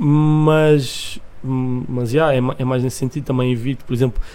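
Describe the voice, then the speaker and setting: With flat, monotone intonation, a man at a medium pitch talks at a moderate pace while background noise is clearly noticeable. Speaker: music producer and rapper. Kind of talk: casual chat.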